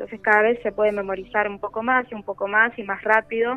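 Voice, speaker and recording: This woman talks at a fairly quick pace. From Buenos Aires, Argentina. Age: 30s. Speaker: clarinetist in a blind symphonic band. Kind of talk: interview. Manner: halting, frequent repetitions and fillers.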